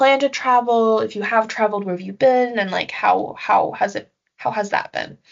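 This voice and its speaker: This woman has a normal speaking voice with a fairly high pitch, ordinary pitch variation, and a Canadian accent. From Canada. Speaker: podcast host, student peer helper. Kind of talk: casual interview.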